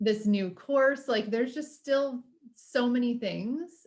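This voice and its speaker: Using an unremarkable speaking voice, a woman with an American accent speaks at a fairly slow pace with ordinary pitch variation. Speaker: podcast host. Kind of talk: casual interview chat.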